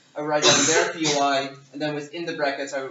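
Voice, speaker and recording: Delivered very fast in a monotone, flat intonation, the speech carries audible room echo and noticeable background noise. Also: man. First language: not English. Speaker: debate judge. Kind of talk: workshop lecture. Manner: hesitant, many fillers.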